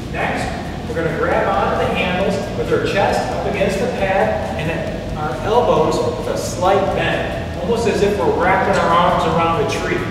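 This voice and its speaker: Recorded amid noticeable background noise and strong room echo, a man talks at a moderate pace. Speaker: fitness instructor. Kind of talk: tutorial. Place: gym.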